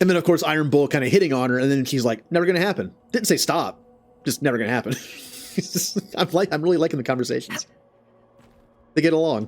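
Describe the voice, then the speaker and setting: Music plays behind a man who talks very fast in a fairly high pitch with lively intonation, broken by long, frequent pauses. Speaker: video game streamer. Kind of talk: casual gameplay stream chat. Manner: animated.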